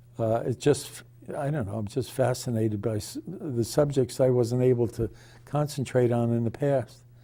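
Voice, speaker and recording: A man speaks at a moderate pace with a somewhat breathy, dark, mellow tone, a medium pitch and fairly even intonation. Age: 80s+. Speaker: retired chemist and author. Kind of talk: interview. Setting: television studio. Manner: halting, many restarts and fillers.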